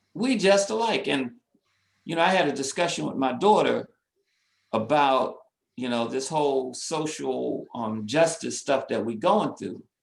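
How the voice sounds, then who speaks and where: With an American accent and an unremarkable speaking voice, a man talks at a fairly slow pace, his fairly high pitch moving in lively intonation. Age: 60s. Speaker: community organization president. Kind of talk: webinar discussion.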